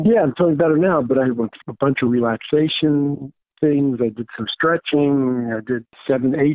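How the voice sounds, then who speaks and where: Here a man talks at a moderate pace in a plain, everyday voice. His pitch is fairly high with ordinary pitch variation. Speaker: host's father. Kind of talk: casual chat. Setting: phone call.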